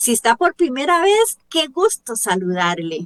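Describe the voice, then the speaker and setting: A woman with a Costa Rican accent speaks in an animated tone at a fairly slow pace, her intonation lively and the sound dry and close with no echo. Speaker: radio show host. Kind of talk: religious radio program.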